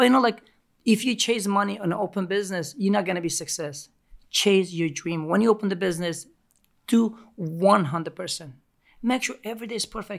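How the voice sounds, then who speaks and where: This speaker talks at a fairly quick pace with a Turkish accent. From Turkey. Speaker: pizzeria owner and pizza acrobat. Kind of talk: casual interview. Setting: studio.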